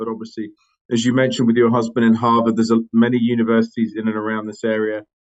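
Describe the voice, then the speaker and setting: A man with an English accent talks at a very fast pace in a medium pitch. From England, London. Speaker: company CEO. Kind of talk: podcast interview. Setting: audio-only remote podcast. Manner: halting, many fillers.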